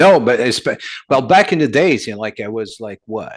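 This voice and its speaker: Against a quiet background, a man speaks with a Quebec French accent. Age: 60s. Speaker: metal singer. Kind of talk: casual interview.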